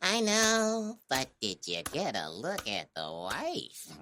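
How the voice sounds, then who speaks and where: A man drags out a put-on character voice at a very slow speed. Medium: audio drama. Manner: streetwise.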